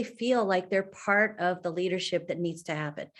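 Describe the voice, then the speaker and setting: A woman with an American accent, a normal speaking voice at medium pitch, at a fairly quick pace against a quiet background. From San Francisco, California. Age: 60s. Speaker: city librarian. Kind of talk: panel discussion.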